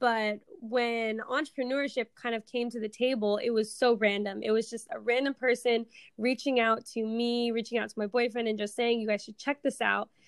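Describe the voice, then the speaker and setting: In an American accent, a woman with a fairly high voice speaks at a moderate pace in a monotone, flat intonation. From US Pacific Northwest, Seattle. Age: 20s. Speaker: entrepreneur and forex trader. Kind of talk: podcast interview.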